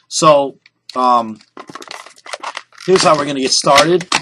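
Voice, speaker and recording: This man's voice is fairly high in pitch, with a bright, sharp tone. He talks at a moderate pace. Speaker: balloon artist. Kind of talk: tutorial. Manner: loud; animated.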